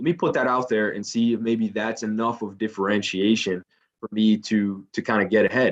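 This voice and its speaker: A man speaks with a Spanish accent. His intonation is fairly even and his pace moderate. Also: fairly low pitch for a man. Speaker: company recruiter presenting to students. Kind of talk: career info session presentation. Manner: many fillers and repetitions, somewhat halting.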